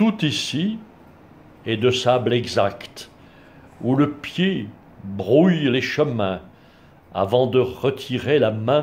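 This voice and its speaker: With long, frequent pauses and a very slow pace, a man speaks in a somewhat breathy voice with lively intonation. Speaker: blogger reading poetry. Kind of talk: poem reading, read aloud from a book after a short spoken introduction. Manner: measured, formal, literary delivery; unhurried, with a reverent, contemplative tone. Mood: calm, measured. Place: home room. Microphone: phone near.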